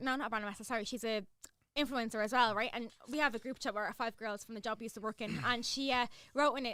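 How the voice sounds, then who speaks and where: A woman with a Dublin accent speaks at a very fast pace in an animated, bright, sharp tone. Her voice is fairly high, with ordinary pitch variation. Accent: Irish, Dublin. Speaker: social media influencer. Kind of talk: casual chat.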